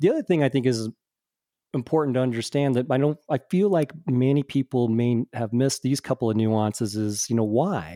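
With a dark, mellow tone and medium pitch, a man talks at a fairly quick pace with ordinary pitch variation, the sound dry and close with no echo. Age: 50s. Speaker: tech industry executive. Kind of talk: casual interview. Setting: remote audio recording.

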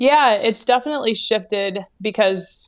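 Using a normal speaking voice, a woman with an American accent talks with ordinary pitch variation. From Alaska. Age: 30s. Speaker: food company founder. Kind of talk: interview. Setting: remote call.

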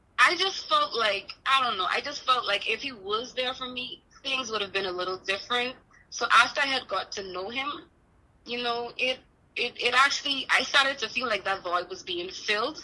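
Noticeable background noise sits behind a woman speaking at a moderate pace. Her fairly high voice has lively intonation. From Bahamas. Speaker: guest sharing personal story. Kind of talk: testimony. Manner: halting.

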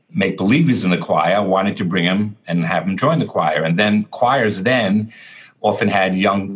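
Over a quiet background, a man with a New York accent speaks at a fairly low pitch. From Brooklyn, New York. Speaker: cantor. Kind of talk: interview. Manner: halting.

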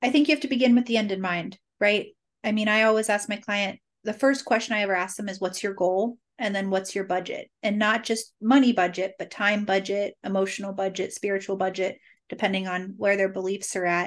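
Against a quiet background, a woman with an American accent talks at a medium pitch with fairly even intonation. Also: fairly quick pace. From Cincinnati, Ohio, US Midwest. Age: 30s. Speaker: marketing entrepreneur. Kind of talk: interview.

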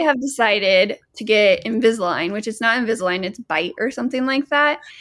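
Recorded very cleanly against a silent background, the speaker has a normal speaking voice with ordinary pitch variation. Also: woman. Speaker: podcast co-host.

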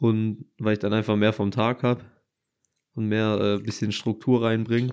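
A man speaks at a moderate pace. His fairly low voice stays monotone and flat. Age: 20s. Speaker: podcast co-host. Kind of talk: casual chat.

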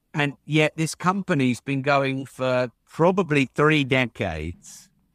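A man speaks with an English accent and lively intonation, the sound dry and close with no echo on a very clean recording over a silent background. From England. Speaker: entrepreneur and podcast host. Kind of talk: interview conversation.

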